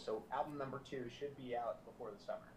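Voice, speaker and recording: Noticeable background noise sits under this recording. A man with an American accent speaks at a medium pitch. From US South, South Florida. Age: 30s. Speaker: musician and producer. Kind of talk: casual interview chat.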